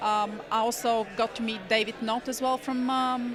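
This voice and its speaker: A woman speaks at a moderate pace, her pitch fairly high and her intonation fairly even, with noticeable background noise behind her. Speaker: blockchain developer at a conference. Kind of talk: interview. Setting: conference event. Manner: soft-spoken; hesitant, many fillers.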